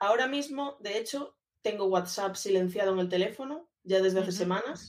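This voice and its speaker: A woman speaks in a plain, everyday voice at a medium pitch. Her intonation is lively. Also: fairly quick pace. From Galicia, Spain (A Coruña). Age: 30s. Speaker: social media and communications manager. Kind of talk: casual interview chat.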